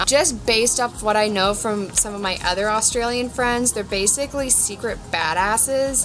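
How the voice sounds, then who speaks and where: A woman with an American accent speaks at a moderate pace in a fairly high pitch with ordinary pitch variation, with music in the background. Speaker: vlogger. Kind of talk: casual chat.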